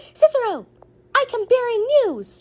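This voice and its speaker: A put-on character voice, squeaky and extremely high-pitched, moves at a moderate pace. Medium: comedy sketch. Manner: urgent, dramatic.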